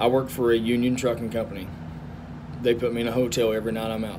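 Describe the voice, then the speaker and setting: With a strong Southern US accent, a man talks at a fairly quick pace and fairly even intonation amid audible room echo and noticeable background noise. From US South. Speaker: truck driver. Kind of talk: casual vlog talk.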